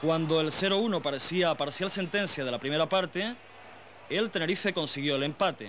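A man's moderately paced speech has lively intonation. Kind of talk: 1990 football highlights narration. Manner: formal, brisk, measured newsreel-style delivery.

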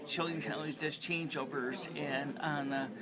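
Noticeable background noise sits behind delivery that keeps a moderate pace. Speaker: vlogger. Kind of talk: casual vlog chat. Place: hall. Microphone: webcam.

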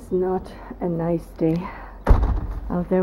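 A woman is speaking. Loud background noise surrounds her voice. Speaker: vlogger. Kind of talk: casual vlog chat. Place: home room. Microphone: phone near.

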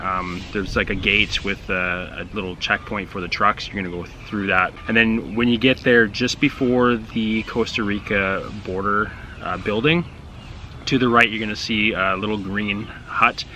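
Over light background noise, a man speaks with a plain, everyday voice at a fairly low pitch. His intonation is fairly even, his pace moderate, and the sound dry with no echo. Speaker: travel vlogger. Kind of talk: tutorial. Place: garden.

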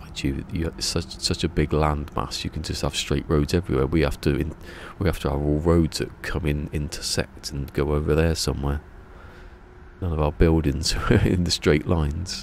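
A man with a Berkshire accent talks at a moderate pace in a very deep, low pitch with fairly even intonation. The sound is dry with no echo, over light background noise. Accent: Berkshire accent, between Bristol and London. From southern England, Berkshire; southern England. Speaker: video game live streamer. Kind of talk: casual live stream chat. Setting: live stream. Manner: chill and relaxing. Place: home room. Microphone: studio mic.

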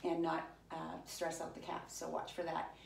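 Light background noise and audible room echo around a woman talking at a moderate pace. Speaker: fitness instructor. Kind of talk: workout instruction. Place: home room. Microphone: camera far.

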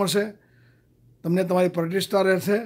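The background is quiet. A man talks at a high pitch with fairly even intonation. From India, south Gujarat (Vyara); Gujarat, India. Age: 70s. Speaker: senior citizens association president. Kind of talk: recorded speech. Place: home room. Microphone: webcam.

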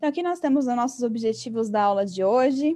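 Over a quiet background, a woman with a São Paulo accent talks very fast in a dark, mellow tone at a high pitch with ordinary pitch variation. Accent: Paulistano Brazilian Portuguese. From São Paulo, Brazil. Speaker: English teacher. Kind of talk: online lesson. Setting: video call. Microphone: webcam.

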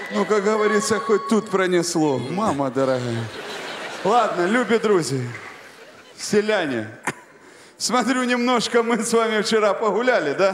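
A man speaks with long, frequent pauses in a room with audible echo and light background noise. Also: fairly slow pace. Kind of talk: comedy sketch dialogue. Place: stage. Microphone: handheld.

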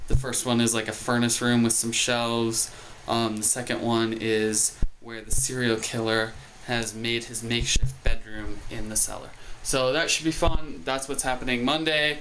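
Noticeable background noise sits behind a man speaking at a moderate pace with fairly even intonation. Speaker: vlogger. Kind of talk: casual vlog chat. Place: home room. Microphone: phone near.

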